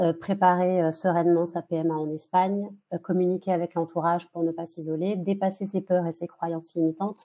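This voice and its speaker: A fairly quick pace with monotone, flat intonation. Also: woman. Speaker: fertility coach. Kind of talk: webinar presentation. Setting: online webinar. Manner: halting, many fillers.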